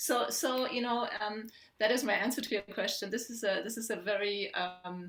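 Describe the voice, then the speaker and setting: A woman with a German accent talks at a fairly quick pace in a medium pitch with ordinary pitch variation. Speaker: poet and academic. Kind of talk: panel Q&A answer. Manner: halting, many repeated words.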